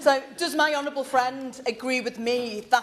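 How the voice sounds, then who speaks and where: The woman's intonation remains fairly even. Her voice sits at a high pitch. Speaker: member of parliament. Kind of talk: parliamentary debate intervention. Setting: parliament debating hall. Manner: loud.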